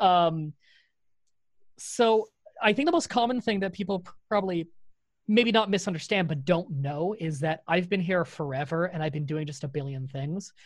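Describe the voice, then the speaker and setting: The speaker, with a Canadian accent, talks at a moderate pace with ordinary pitch variation and long, frequent pauses, in a very clean recording with a silent background. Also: man, high pitch for a man. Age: 20s. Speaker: YouTube content creator. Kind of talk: casual interview.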